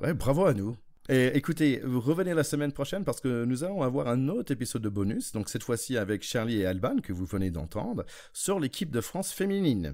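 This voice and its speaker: A man talks at a fairly quick pace with very wide pitch swings, captured in a very clean recording against a silent background. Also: medium pitch for a man. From United States. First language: English (speaking French). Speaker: rugby podcast host. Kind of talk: casual chat.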